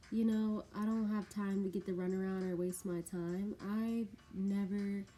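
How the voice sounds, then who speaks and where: Somewhat breathy, a woman speaks fairly slowly at medium pitch, her dark, mellow tone held in monotone, flat intonation. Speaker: beauty vlogger and bartender. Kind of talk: casual get-ready-with-me vlog.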